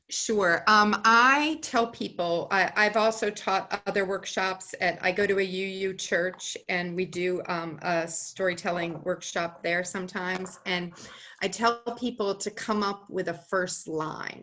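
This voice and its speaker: Over noticeable background noise, a woman with an American accent talks at a fairly slow pace with hardly any pauses, a medium pitch and ordinary pitch variation. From Boston area, US. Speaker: storyteller and writer. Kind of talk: interview.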